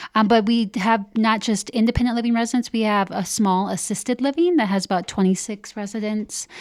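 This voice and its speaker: With a slight Upper Midwest accent, a woman speaks fairly quickly at a fairly high pitch, her pitch varying in an ordinary way. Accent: slight Upper Midwest accent on some words. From Upper Midwest (Minnesota, North Dakota, Iowa). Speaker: senior living program director. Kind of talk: interview.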